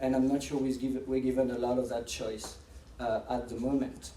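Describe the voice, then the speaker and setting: Over noticeable background noise and audible room echo, a man with a strong French accent talks at a fairly quick pace in a fairly high pitch. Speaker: professor and AI researcher. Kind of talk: lecture. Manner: fast; halting, with frequent restarts.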